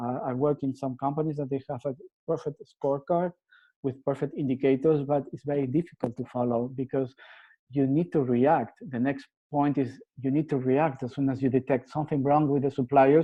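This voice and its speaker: The pace is fairly quick. The intonation is monotone and flat. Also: man, fairly high pitch for a man. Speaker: supply chain author and presenter. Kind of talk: webinar presentation. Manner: fast.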